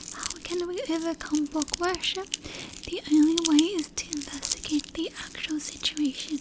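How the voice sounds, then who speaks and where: Soft-spoken and at a fairly slow pace, the voice comes through noticeable background noise. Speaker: ASMR artist. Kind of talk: literature reading.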